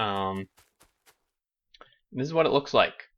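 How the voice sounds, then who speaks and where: A man's bright, sharp tone at a moderate pace. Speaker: gaming youtuber. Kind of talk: gameplay commentary. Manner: low energy.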